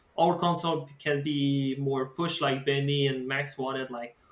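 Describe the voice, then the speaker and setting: With a Quebec French accent, a man of fairly high pitch talks at a moderate pace with fairly even intonation. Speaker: podcast host. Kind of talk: casual chat.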